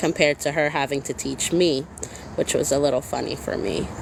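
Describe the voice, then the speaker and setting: Noticeable background noise runs through the clip. A woman does the talking. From Massachusetts, US. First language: Spanish. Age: 30s. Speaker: crochet crafter and small business owner. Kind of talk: casual livestream chat. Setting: livestream.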